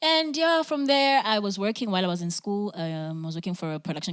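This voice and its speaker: A woman with a South African accent talks at a very fast pace. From South Africa, KwaZulu-Natal South Coast. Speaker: singer-songwriter. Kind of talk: interview. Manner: loud, energetic.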